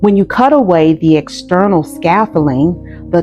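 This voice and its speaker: Over music in the background, a woman talks at a fairly slow pace with a fairly low pitch. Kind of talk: sermon-style spiritual masterclass talk. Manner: earnest, deliberate, emphatic.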